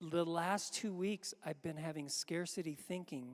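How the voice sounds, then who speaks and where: Here a man with a fairly high pitch and ordinary pitch variation speaks at a moderate pace. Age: 60s. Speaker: pastor. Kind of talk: sermon. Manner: halting.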